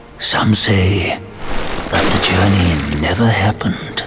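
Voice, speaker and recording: Over clear background noise, a man does a put-on character voice at a very deep, low pitch and a fairly slow pace. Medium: short film. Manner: slow, mysterious.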